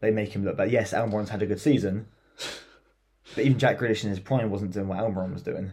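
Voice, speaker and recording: With an English accent and a dark, mellow tone, a man speaks at a very fast pace and a fairly low pitch, sounding somewhat breathy, with ordinary pitch variation and long, frequent pauses. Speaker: football podcast co-host. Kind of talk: casual chat.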